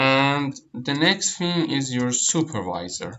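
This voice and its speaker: With a Persian accent, a man speaks at a medium pitch with ordinary pitch variation. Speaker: online tutor. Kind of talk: tutorial. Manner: hesitant, many fillers and repeats.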